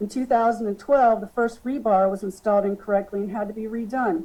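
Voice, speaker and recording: Her voice shaky, a woman with a fairly high pitch and a dark, mellow tone speaks at a fairly quick pace with fairly even intonation. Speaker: expert witness. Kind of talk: testimony. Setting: public hearing. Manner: shaky voice.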